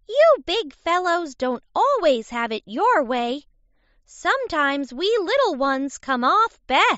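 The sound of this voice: A woman puts on a shrill character voice at an extremely high pitch, speaking at a fairly slow pace with very wide pitch swings.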